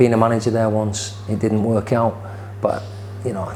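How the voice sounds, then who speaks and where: Speaking with a Yorkshire accent, a man talks at a fairly low pitch in a monotone, flat intonation, at a moderate pace. Noticeable background noise and audible room echo come through. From northern England, Leeds. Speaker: football manager. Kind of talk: interview. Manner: halting, repeats words.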